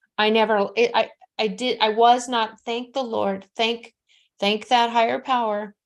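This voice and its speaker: An American-accented woman speaks at a fairly high pitch. The background is quiet. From Nevada, US. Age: 60s. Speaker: psychic medium. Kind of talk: live psychic reading. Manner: animated.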